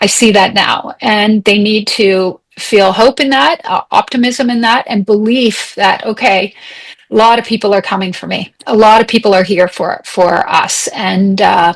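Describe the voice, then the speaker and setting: An ordinary speaking voice, a woman talks with a Canadian accent at a fairly high pitch. She has ordinary pitch variation and a fairly slow pace. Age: 60s. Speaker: human rights advocate. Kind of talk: interview conversation.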